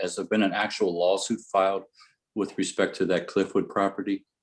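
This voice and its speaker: Fairly quick and low-pitched, a man speaks with a Midwestern accent. His intonation stays fairly even. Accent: Midwestern, flat A. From US Midwest, Ohio. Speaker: resident speaking at public comment. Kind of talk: public meeting comment. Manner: halting.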